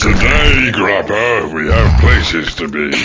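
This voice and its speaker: A man's cartoonish character voice, very deep and low, at a fairly slow pace over loud background noise. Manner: sarcastic, impatient.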